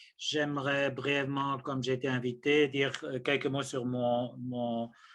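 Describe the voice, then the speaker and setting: Here a man speaks very slowly in a bright, sharp tone. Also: quiet background. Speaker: ethics professor, theologian. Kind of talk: lecture. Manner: halting, many hesitations.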